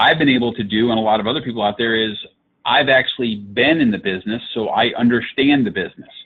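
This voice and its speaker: A man moves along at a fairly quick pace, his pitch medium and varying in an ordinary way. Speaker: digital marketing consultant. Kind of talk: webinar presentation. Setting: live online webinar. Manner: fast.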